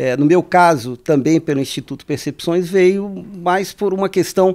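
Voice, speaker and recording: Spoken at a moderate pace with ordinary pitch variation, the voice sits against a quiet background. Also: man. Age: 50s. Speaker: radio podcast host. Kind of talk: interview. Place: studio. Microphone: studio mic.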